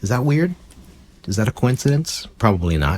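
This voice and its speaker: The voice is quiet and somewhat breathy, with very wide pitch swings. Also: man. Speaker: ukulele teacher. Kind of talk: tutorial. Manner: lowered voice, speaking quietly.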